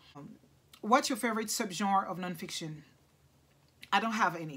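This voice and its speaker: A woman's bright, sharp tone with ordinary pitch variation. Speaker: book vlogger. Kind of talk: casual vlog talk to camera. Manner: halting, self-correcting.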